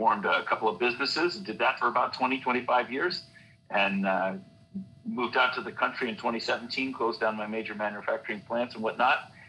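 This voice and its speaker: A man talks at a very fast pace in an American accent. His pitch is medium, with ordinary pitch variation. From US West Coast, San Francisco Bay Area. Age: 60s. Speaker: scientist, election integrity activist. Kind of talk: interview. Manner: halting, many fillers.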